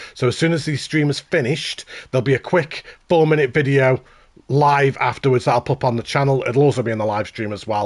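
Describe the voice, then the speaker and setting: In a Stoke accent, a man at medium pitch speaks at a very fast pace with ordinary pitch variation, recorded dry and close with no echo. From England, Stoke-on-Trent. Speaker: gaming streamer. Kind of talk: live stream commentary.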